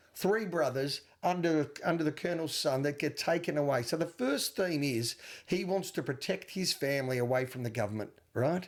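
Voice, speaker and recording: Speaking at a fairly quick pace, a man uses an Australian accent with fairly high pitch and ordinary pitch variation. The recording is very clean, with a silent background. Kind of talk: movie podcast co-host. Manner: defensive, earnest.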